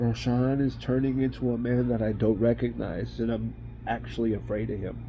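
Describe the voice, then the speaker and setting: At a moderate pace, a man talks in a room with audible echo while music plays in the background. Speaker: estranged father. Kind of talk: personal video message.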